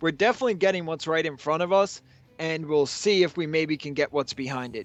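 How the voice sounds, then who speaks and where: With a New York accent, a man speaks at a fairly high pitch and ordinary pitch variation. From New York City, Long Island. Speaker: esports caster. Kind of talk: live commentary. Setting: livestream with chat.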